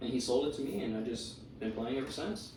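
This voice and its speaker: A man with a medium-pitched voice and ordinary pitch variation is heard over noticeable background noise, with audible room echo. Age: 20s. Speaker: model and skateboarder. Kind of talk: casual interview. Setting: at his home.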